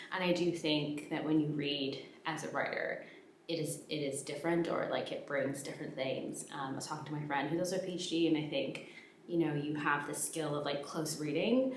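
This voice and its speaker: A woman's very deep, low voice at a fairly quick pace, with fairly even intonation, audible room echo and noticeable background noise. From Canada. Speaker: PhD student and YouTuber. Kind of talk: casual vlog talk. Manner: hesitant, many fillers.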